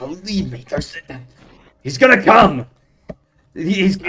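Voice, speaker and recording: A man's put-on character voice, pitched high. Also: moderate pace. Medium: actual play. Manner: nervous.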